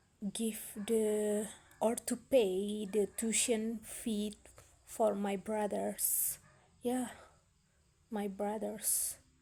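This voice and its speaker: A woman's fairly high, dark and mellow voice, somewhat breathy, with an Indonesian accent, a monotone, flat intonation, a very slow pace and long, frequent pauses. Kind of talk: casual talk to camera. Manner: hesitant, slow.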